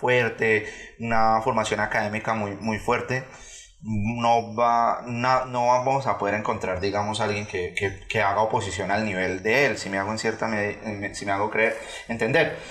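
A man at a moderate pace, with audible room echo around him. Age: 30s. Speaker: political analyst. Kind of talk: casual chat. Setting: studio. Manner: halting.

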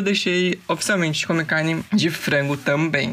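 A woman's fairly low-pitched voice against noticeable background noise. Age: 20s. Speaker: podcaster. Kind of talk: casual solo monologue. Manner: animated.

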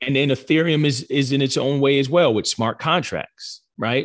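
In a very clean recording with a silent background, a man with an American accent uses a normal speaking voice at medium pitch and a moderate pace. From New Jersey. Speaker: financial advisor and crypto entrepreneur. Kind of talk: interview conversation.

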